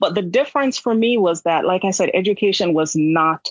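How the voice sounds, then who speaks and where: A woman with a Jamaican accent speaks at a medium pitch and a fairly quick pace, her pitch varying in an ordinary way. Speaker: nurse. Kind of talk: interview.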